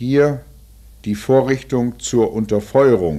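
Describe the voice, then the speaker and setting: The tone is dark and mellow. The pace is very slow. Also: man. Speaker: film narrator. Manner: measured, sober, matter-of-fact, formal.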